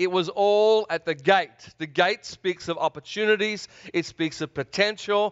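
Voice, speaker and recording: At a moderate pace, a man with a high-pitched voice sounds enthusiastic, his pitch varying in an ordinary way. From Australia. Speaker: preacher. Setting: church service. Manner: enthusiastic, engages audience.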